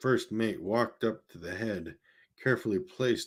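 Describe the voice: The clip is plain reading aloud with fairly even intonation and a quiet background.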